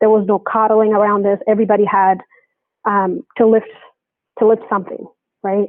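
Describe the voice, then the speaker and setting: A woman with a Kenyan accent and a fairly high pitch speaks at a moderate pace in a monotone, flat way, with very even loudness and long, frequent pauses. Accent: Kenyan, noticed when she speaks. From Kenya, then Baltimore from age 10. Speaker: attorney in pharmaceutical communications. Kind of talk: interview about personal experience.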